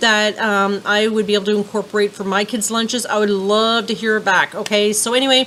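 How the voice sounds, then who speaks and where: A woman's fairly high voice at a fairly quick pace, with noticeable background noise. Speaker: vlogger. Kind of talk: casual vlog talk to camera. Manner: fast; chatty, many fillers.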